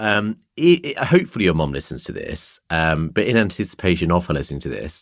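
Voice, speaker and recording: This man has a very deep, low pitch with vocal fry and lively intonation. He talks at a moderate pace in a very clean recording with a silent background. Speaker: podcast host. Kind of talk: casual interview chat.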